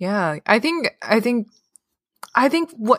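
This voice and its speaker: The pace is very slow. The recording is very clean and silent in the background, with a dry, close sound and no echo. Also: woman. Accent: Cantonese. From Hong Kong. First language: Cantonese. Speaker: therapist. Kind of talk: casual chat. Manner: halting, many fillers.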